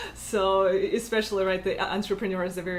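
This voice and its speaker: A woman's medium-pitched, monotone voice with flat intonation and a Russian accent. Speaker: tech community organizer and founder. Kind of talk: interview. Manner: halting, many fillers.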